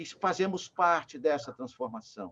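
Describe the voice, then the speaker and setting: A man speaks with lively intonation. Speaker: spiritist lecturer. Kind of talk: lecture. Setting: video call.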